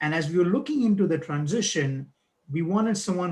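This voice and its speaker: A man at a fairly quick pace with ordinary pitch variation, set against a quiet background. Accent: non-native. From outside the US, first-generation immigrant. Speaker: board chair of a nonprofit. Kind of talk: speech at a live-streamed event. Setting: video call live stream.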